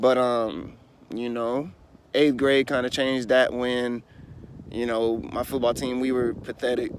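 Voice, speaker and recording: Speaking at a fairly slow pace with a medium pitch, a man with an American accent has a plain, everyday voice and fairly even intonation. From US and Germany (military family). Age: 20s. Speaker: life coach / vlogger. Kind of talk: personal life story monologue. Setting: outdoors. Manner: casual, filler-heavy.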